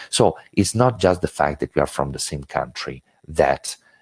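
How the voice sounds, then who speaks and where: With an Italian accent and vocal fry, a man talks at a moderate pace in a dry, close sound with no echo. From Italy. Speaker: intercultural education trainer. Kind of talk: webinar lecture. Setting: online webinar. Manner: hesitant, many filler words.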